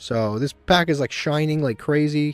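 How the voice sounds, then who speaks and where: A man speaks with music playing in the background. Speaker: video game streamer. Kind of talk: gameplay commentary. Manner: monotone; halting.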